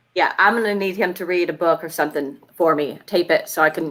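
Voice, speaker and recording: A woman with an American accent and a fairly low pitch talks at a very fast pace. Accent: slight Southern US, stronger when angry. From US South. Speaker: co-host. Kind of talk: casual chat.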